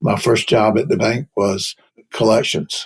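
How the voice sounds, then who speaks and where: Speaking at a moderate pace with a North Carolina accent, this voice has lively intonation and vocal fry. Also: man. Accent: Southern US (North Carolina). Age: 70s. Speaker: payments executive, investment banker. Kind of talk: interview.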